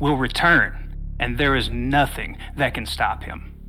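A man talking at a very slow pace amid noticeable background noise. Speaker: voice actor playing a professor. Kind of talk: horror audio drama, character dialogue, cult villain monologue. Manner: formal, scholarly, calm and then menacing, ritualistic.

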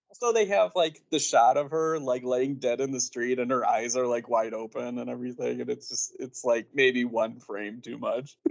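This man has a normal speaking voice at a medium pitch, talking at a moderate pace with ordinary pitch variation and hardly any pauses. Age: 30s. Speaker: film podcaster and writer. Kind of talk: casual chat.

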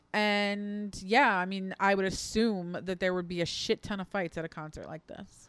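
Against a very clean recording with a silent background, a woman speaks in a plain, everyday voice at a medium pitch and a moderate pace, with hardly any pauses. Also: big swings in loudness. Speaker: producer and co-host. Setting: live stream.

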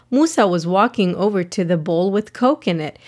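What you hear is plain reading aloud.

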